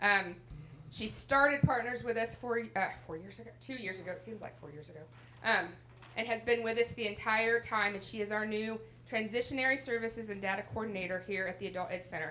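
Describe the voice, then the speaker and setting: Noticeable background noise sits behind a woman speaking at a fairly quick pace. Her pitch is fairly high with ordinary variation, and her loudness swings widely. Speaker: adult education center director. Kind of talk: graduation ceremony speech. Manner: animated.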